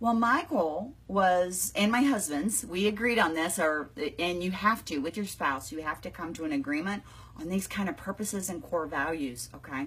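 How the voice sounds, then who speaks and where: A woman speaks in a normal speaking voice at medium pitch and a moderate pace, with lively intonation. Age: 60s. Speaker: business coach. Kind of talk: live video chat. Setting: home, live online stream. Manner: casual, conversational.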